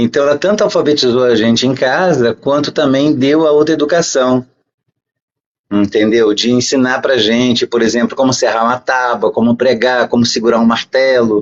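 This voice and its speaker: A man with an unremarkable speaking voice talks at medium pitch and a moderate pace with ordinary pitch variation. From Brazil. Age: 60s. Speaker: podcast guest. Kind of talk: interview storytelling.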